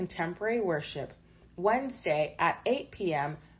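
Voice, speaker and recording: Somewhat breathy and fairly slow, a woman's voice moves through very wide pitch swings. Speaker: announcer. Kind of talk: scripted announcement.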